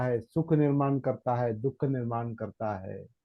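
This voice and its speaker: The voice is a man's. Its rise and fall in pitch is ordinary. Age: 60s. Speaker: meditation teacher. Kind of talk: Dhamma talk. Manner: halting, repetitive.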